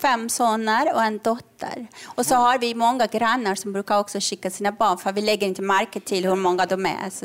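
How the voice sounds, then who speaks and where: With an ordinary speaking voice, a woman talks at a moderate pace, her fairly high pitch held in fairly even intonation. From Iran. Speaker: comedian and author. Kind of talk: live comedy podcast chat. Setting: stage with audience.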